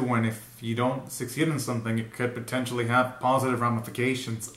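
A man at a fairly quick pace, with audible room echo. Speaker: reaction video host. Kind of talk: casual reaction commentary. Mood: amused, frequent laughing. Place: home room.

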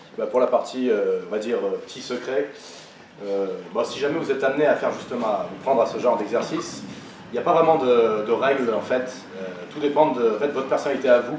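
Amid light background noise and audible room echo, a man talks at a fairly quick pace broken by long, frequent pauses. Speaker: law student orator. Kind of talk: audience Q&A. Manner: hesitant, many fillers. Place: hall. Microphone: podium.

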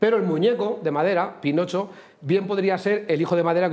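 A man talks at a very fast pace and a high pitch. His pitch variation is ordinary. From Spain, Cuenca province; Spain. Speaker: comedian co-host. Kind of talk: comedy sketch. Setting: TV studio. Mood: joking, storytelling. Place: studio.

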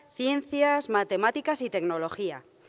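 At a moderate pace, a woman with a high pitch speaks with lively intonation. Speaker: event presenter; presenter. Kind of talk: formal event presentation. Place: hall. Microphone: podium.

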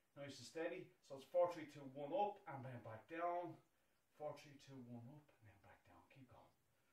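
The voice keeps a moderate pace, somewhat breathy, with big swings in loudness. Audible room echo surrounds it. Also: man, ordinary pitch variation. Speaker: fitness instructor. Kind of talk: workout instruction. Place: home room. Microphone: camera far.

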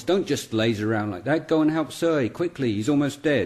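Putting on a gruff character voice with a fairly high pitch, a man speaks at a moderate pace with lively intonation over light background noise. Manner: bossy, commanding.

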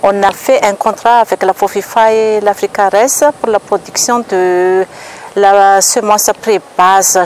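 A woman at a very slow pace, dry sound with no echo, light background noise. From Madagascar. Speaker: seed production business manager. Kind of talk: interview testimony. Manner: halting. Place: garden.

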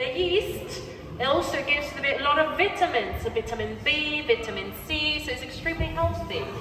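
A woman's raised, projected voice, high-pitched and lively, moving at a fairly quick pace against clear background music and audible room echo. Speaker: brewery tour guide. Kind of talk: guided tour. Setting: brewery tour. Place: hall. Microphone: camera far.

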